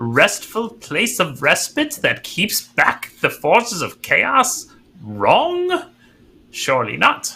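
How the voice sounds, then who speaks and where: Putting on a character voice, a man talks at a very slow pace in an extremely high pitch. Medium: actual play. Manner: archaic, grandiose phrasing.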